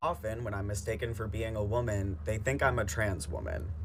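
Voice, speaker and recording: Vocal fry runs through this man's voice. Room echo is audible. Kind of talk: personal video monologue.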